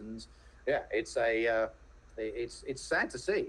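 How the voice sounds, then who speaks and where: Moderate pace with a British accent. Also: man. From England, home counties. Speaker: venture capitalist, podcaster. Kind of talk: casual interview chat. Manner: halting, many repeated words.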